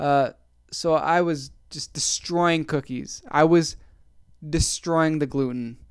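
A man talks at a very slow pace, and the very clean recording has a silent background. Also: fairly high pitch for a man. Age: 20s. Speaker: podcast host. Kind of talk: casual solo monologue. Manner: animated, chatty; laughs often, self-deprecating.

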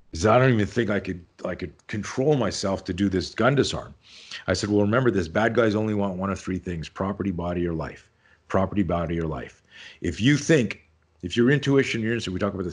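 A man speaks very fast in a fairly low pitch with ordinary pitch variation. The background is quiet. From Canada. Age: 50s. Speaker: self-defense instructor. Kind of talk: casual interview chat. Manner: animated.

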